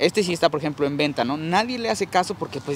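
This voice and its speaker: Light background noise sits behind a man with a fairly high voice and lively intonation, the sound dry with no echo. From Mexico. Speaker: plant nursery owner and YouTuber. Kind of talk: casual guided tour chat. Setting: outdoors in a plant nursery. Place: garden. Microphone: lapel.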